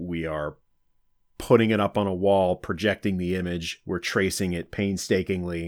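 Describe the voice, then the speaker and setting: A man's very deep, low voice with an American accent, monotone and flat in intonation, at a moderate pace in a very clean recording with a silent background. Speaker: soccer supporter group vice president. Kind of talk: casual podcast interview. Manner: talkative, long-winded.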